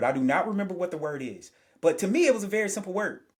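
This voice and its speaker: A man is speaking. His tone is animated. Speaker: sociologist. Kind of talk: interview. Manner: fast.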